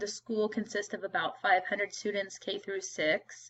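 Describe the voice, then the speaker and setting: A woman speaks in a fairly high voice. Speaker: teacher. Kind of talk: self-introduction video. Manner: loud; casual with frequent um fillers.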